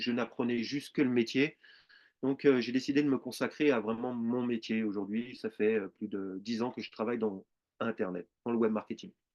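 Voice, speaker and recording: A man talks at a moderate pace in a plain, everyday voice. His pitch is medium and his intonation fairly even. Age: 40s. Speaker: network marketing presenter. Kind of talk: sales pitch.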